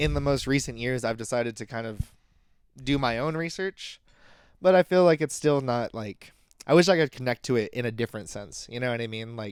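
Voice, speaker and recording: In a very clean recording with a silent background, a man with an American accent speaks at a fairly quick pace in a medium-pitched voice. His intonation is lively and his loudness swings widely. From USA. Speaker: podcast guest. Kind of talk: casual chat.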